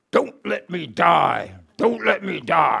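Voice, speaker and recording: A man does a raspy put-on character voice at a very slow pace. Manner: pleading, desperate.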